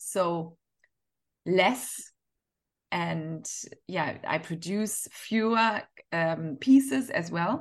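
A woman speaks with a German accent over a quiet background. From Northern Germany. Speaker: fashion entrepreneur and author. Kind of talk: interview.

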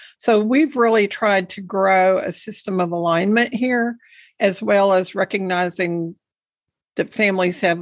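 A woman with a Texan accent at a fairly slow pace, ordinary pitch variation, on a very clean recording against a silent background. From Texas Panhandle. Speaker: education advocate and podcast host. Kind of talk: interview.

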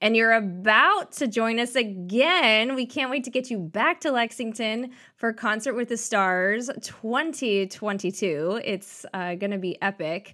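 A woman speaks at a fairly slow pace with hardly any pauses, her pitch fairly high and her intonation lively. The tone is bright and sharp, on a very clean recording with a silent background. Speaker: theater company podcast host. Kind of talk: casual interview chat.

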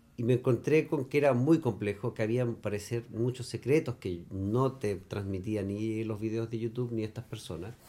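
A man with a Chilean accent has a dark, mellow tone at medium pitch, speaking at a moderate pace with ordinary pitch variation. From Chile, Magallanes. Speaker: architect and cider maker. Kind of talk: casual interview chat. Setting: at his rural home.

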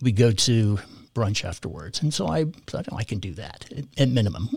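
Here a man speaks with an American accent and a somewhat breathy quality. His pitch sits fairly low. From California. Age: 60s. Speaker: parish volunteer and catechetics director. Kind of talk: casual interview conversation.

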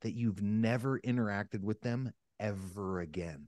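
A man with an American accent and an unremarkable speaking voice, fairly low in pitch, at a moderate pace, with a dry, close sound with no echo and a quiet background. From US, Northeast Pennsylvania. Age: 30s. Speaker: sales coach and cancer survivor. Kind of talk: podcast interview.

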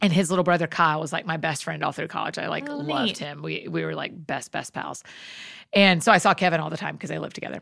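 This woman talks at a very fast pace in a Southern US accent, her loudness swinging widely. The recording is very clean, with a silent background. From US South, Georgia. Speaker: author and speaker. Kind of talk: casual chat.

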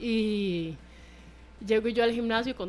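Here is a woman with a fairly high pitch and ordinary pitch variation. She has an unremarkable speaking voice. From Costa Rica, San Carlos. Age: 20s. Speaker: footballer. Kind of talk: radio interview.

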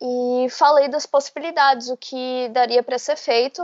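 Fairly slow speech from a woman with a high-pitched voice. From Bahia, Brazil. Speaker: intellectual property lawyer. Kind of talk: interview.

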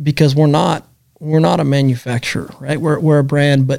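A man with a normal speaking voice and a fairly high pitch talks at a moderate pace. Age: 30s. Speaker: podcast host. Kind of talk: casual conversational podcast chat.

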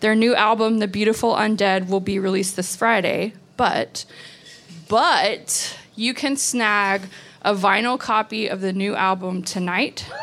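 A woman speaks in a plain, everyday voice with an American accent. Her pitch is medium and her intonation fairly even. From Texas. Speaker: podcast host and magazine director. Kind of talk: event introduction. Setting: stage with audience.

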